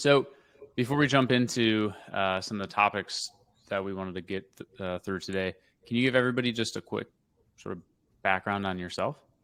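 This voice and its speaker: The talking comes at a fairly quick clip with ordinary pitch variation. Long pauses break it up often. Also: man, fairly low pitch for a man. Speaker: podcast host and agency founder. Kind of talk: podcast interview.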